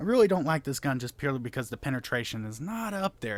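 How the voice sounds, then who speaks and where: Lively intonation runs through this man's speech. His pitch is medium. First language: not English. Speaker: gaming YouTuber. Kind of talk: gameplay commentary. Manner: casual, stumbling.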